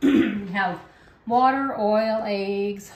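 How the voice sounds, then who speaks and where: With audible room echo, a woman speaks at a medium pitch. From Canadian Prairies. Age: 60s. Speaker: home cooking video host. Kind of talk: cooking tutorial. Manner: casual, chatty.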